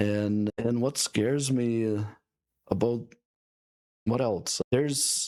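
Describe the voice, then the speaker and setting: Someone with a non-native accent talks very slowly, with long, frequent pauses and fairly even intonation, in a dry, close sound without echo. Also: man, medium pitch for a man. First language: not English. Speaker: entrepreneur and podcast host. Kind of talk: casual podcast conversation.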